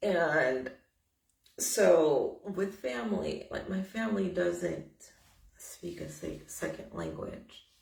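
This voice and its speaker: A woman with an American accent speaks at a very slow pace, with audible room echo. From United States. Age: 20s. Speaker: vlogger. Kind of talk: personal testimony vlog. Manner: casual, conversational with fillers.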